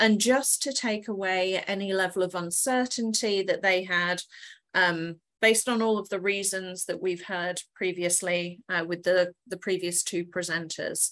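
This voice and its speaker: A woman talks at a fairly slow pace. Her medium-pitched voice keeps a fairly even intonation. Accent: English. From England. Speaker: corporate HR professional. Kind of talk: webinar presentation.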